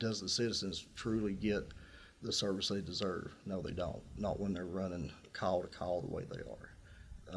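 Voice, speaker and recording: Heard with audible room echo, this man's voice sits very low. His pitch is very deep. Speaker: incumbent sheriff, political candidate. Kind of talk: political candidate forum answers. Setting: radio studio.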